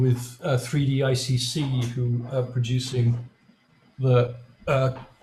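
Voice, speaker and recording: At a fairly slow pace, this man's voice comes out somewhat breathy. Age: 60s. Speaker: software developer. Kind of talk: technical presentation. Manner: halting, many fillers.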